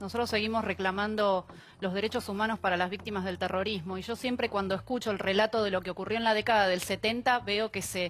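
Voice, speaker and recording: A woman's medium-pitched voice at a very fast pace, monotone and flat, in a very clean recording with a silent background. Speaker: victims' rights activist. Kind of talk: TV panel debate.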